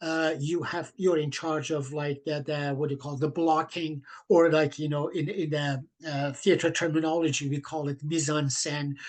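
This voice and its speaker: A man with a non-native accent talks at a moderate pace. His fairly high voice stays monotone and flat. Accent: foreign accent in English. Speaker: theatre director. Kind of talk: interview. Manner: halting, many fillers.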